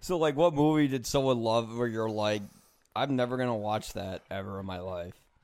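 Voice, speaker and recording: Speaking at a moderate pace, a man has an ordinary speaking voice, a medium pitch and ordinary pitch variation. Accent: American. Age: 30s. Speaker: podcast host. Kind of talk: casual interview. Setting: at home.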